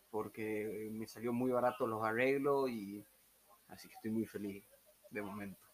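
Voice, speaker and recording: A man with a Tucumán accent, medium in pitch, at a fairly slow pace with fairly even intonation. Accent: Tucumán Argentine Spanish (voseo). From Argentina, Tucumán. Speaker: backpacker, former court employee. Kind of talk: casual chat. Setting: room with open door, weak internet.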